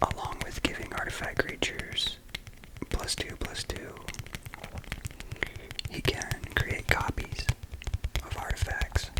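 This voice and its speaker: A fairly slow whisper broken by long, frequent pauses, over noticeable background noise. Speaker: ASMR content creator. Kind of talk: ASMR whisper talk to camera about a card game. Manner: whispered, soft-spoken, slow.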